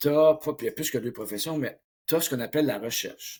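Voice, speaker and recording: In a very clean recording with a silent background, a somewhat breathy man with a Quebec accent talks fairly quickly, using ordinary pitch variation. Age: 60s. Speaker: mental coach. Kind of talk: interview.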